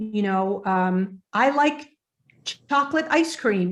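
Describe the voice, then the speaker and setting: A woman with an unremarkable speaking voice talks at a medium pitch with lively intonation against a quiet background. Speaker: ESL teacher and workshop presenter. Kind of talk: workshop Q&A. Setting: video call.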